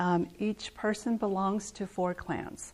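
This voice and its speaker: The woman speaks with a Southwestern US accent. Her pace is fairly slow. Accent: Navajo-accented English. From Navajo reservation, northern Arizona. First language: Navajo. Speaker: artist and weaver giving a talk. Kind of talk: lecture.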